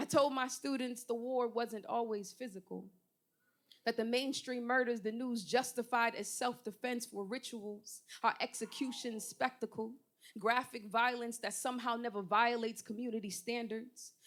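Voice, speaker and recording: A plain, everyday voice. It keeps a moderate pace with fairly even intonation. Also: woman, fairly high pitch for a woman. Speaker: poet; teacher. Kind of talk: spoken word poetry performance. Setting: live open mic.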